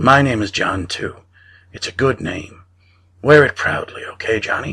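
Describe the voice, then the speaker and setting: A man uses a raspy put-on character voice at a medium pitch, talking at a moderate pace with lively intonation. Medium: read story. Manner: gentle, kindly.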